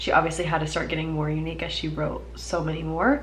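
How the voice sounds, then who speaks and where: Amid noticeable background noise and audible room echo, a woman speaks with an American accent. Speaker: book vlogger. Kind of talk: casual vlog.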